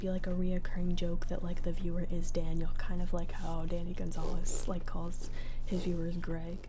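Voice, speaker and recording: A soft-spoken woman at a moderate pace, monotone and flat, over noticeable background noise. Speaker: ASMR creator. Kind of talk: casual talk to camera.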